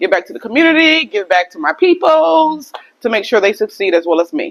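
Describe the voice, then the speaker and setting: A woman with an American accent, fairly high in pitch with very wide pitch swings, at a moderate pace. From Minnesota. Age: 40s. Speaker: author and publisher. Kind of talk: casual interview during workout.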